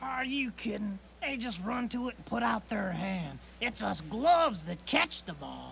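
The speaker uses a put-on character voice at a middle pitch. Clear background noise runs throughout. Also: moderate pace. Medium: audio drama. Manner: brash, wisecracking.

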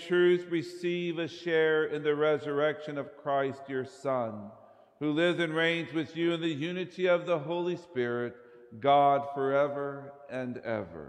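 Delivery is fairly slow with fairly even intonation. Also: man. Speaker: priest leading mass. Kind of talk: liturgical prayer and address.

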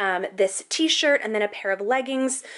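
This woman's pitch swings very widely as she speaks at a moderate pace. The background is quiet. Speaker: travel vlogger. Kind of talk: casual vlog chat. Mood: cheerful, enthusiastic. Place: home room.

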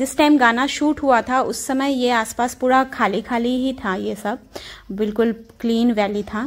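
A woman talks at a fairly slow pace in a high pitch. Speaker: travel vlogger. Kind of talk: casual vlog chat. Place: open country. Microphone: phone near.

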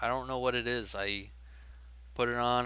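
The tone is bright and sharp, the pace moderate, and the sound dry with no echo. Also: man. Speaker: tech vlogger. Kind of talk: casual vlog chat. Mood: mildly frustrated, casual. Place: home room. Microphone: headset.

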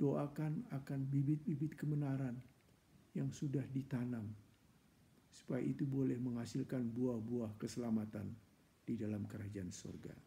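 Somewhat breathy and dark, mellow in tone, a man speaks at a moderate pace in a solemn, passionate way with ordinary pitch variation. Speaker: church preacher. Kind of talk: fervent, heartfelt prayer in a devotional session, petitions to God; prayer devotional talk. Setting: online church broadcast. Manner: earnest, pleading, solemn and passionate. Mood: earnest, prayerful. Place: home room. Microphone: earbuds.

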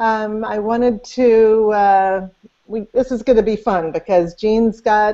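Very slow speech with fairly even intonation against a quiet background. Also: woman. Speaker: interview host. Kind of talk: interview introduction. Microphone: video call.

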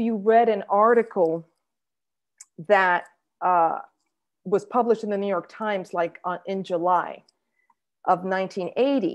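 A woman at a very slow pace, long, frequent pauses, and a quiet background. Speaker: history professor; panelist. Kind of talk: academic talk. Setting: video call. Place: home room. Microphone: video call.

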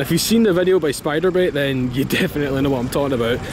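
Clear music plays behind a man whose dry, echo-free voice shows ordinary pitch variation. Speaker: car vlogger. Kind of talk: casual vlog commentary. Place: street. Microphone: phone near.

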